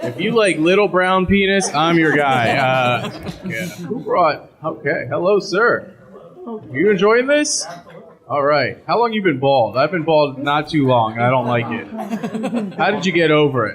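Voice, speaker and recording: A man with a fairly high voice speaks at a fairly slow pace with lively intonation. Noticeable background noise and room echo come through. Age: 30s. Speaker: stand-up comedian. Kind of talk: stand-up. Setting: stage with audience.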